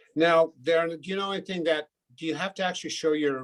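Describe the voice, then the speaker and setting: An unremarkable speaking voice of a man, fairly high and fairly quick, in a dry, close sound with no echo. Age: 60s. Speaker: board trustee. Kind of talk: casual chat.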